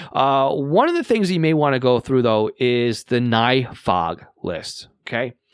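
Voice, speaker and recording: With a Long Island accent, a man speaks at a medium pitch with lively intonation on a very clean recording with a silent background. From Long Island, New York. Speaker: podcast host, radio scanner hobbyist. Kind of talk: casual podcast talk. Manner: halting, many fillers.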